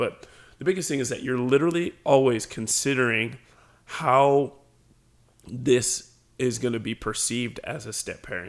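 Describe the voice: Putting on a character voice, a man speaks in a raspy tone at a medium pitch and moderate pace, with long, frequent pauses.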